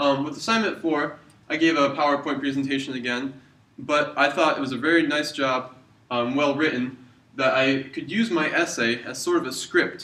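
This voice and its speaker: A man's fairly high-pitched voice with ordinary pitch variation, amid noticeable background noise and audible room echo. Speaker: university student. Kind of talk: video reflection. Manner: fast.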